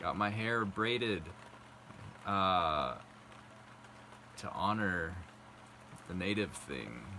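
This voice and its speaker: The voice is soft-spoken and very slow. Its pitch varies in an ordinary way. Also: man. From South Dakota. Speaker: vlogger. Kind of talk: casual talk to camera. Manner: halting.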